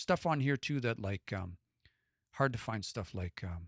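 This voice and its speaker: A man with a western Canadian accent talks at a moderate pace, medium in pitch with ordinary pitch variation. The recording is very clean and dry, close with no echo and a silent background. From west central Alberta, Canada. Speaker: language learner and live streamer. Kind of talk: casual live stream chat. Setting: live stream.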